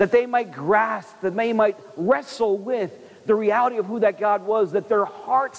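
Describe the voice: Fairly even intonation in plain reading aloud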